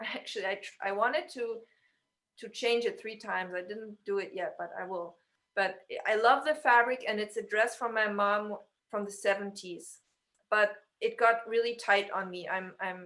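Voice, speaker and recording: A woman speaks in a bright, sharp tone at a fairly high pitch with ordinary pitch variation. Her loudness swings widely. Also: moderate pace. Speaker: stylist. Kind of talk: casual chat. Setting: video call.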